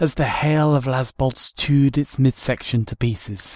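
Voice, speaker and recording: A somewhat breathy man at a fairly slow pace. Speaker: audiobook narrator. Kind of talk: audiobook fan reading.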